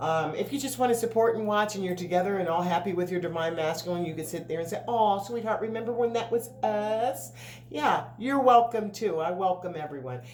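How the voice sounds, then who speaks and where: Amid noticeable background noise and audible room echo, a woman speaks at a medium pitch with lively intonation and hardly any pauses. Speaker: tarot reader. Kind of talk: tarot reading monologue. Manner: fast; casual, filler-heavy.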